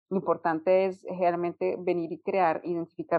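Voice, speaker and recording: Her medium-pitched voice moves at a fairly slow pace. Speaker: UX designer. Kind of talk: interview. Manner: halting, repeats words.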